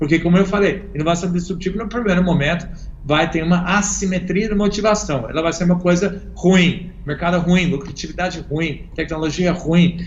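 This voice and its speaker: A man with a high pitch talks at a moderate pace with fairly even intonation and hardly any pauses. Noticeable background noise and audible room echo are present. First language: English (speaking Portuguese). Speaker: innovation consultant. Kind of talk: interview.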